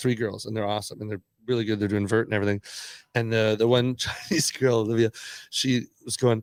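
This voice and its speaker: A man with a Canadian accent talks at a very fast pace in an animated tone, with long, frequent pauses and a dry, close sound with no echo. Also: medium pitch for a man. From Canada. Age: 60s. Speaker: skateboarder and entrepreneur. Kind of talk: casual podcast interview. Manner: animated storytelling.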